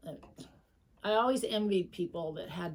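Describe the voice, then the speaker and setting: Vocal fry runs through this woman's voice. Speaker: quilter. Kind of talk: casual chat. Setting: sewing room.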